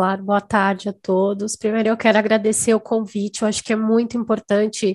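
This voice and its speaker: Against a quiet background, a woman of medium pitch speaks at a moderate pace in a dry, close sound with no echo. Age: 30s. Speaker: patient with severe asthma. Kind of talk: testimony.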